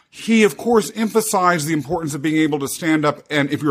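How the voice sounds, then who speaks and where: Noticeable background noise runs beneath a man with a fairly high pitch. He speaks at a very fast pace with lively intonation. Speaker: podcast host. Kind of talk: interview, casual chat.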